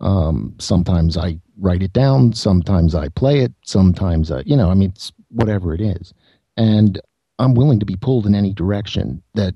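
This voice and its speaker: A man speaks at a moderate pace with lively intonation and a fairly low pitch. His tone is dark and mellow, somewhat breathy, and the sound is dry and close with no echo. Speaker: guest musician and writer. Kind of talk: casual interview chat. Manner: laid-back, unconcerned.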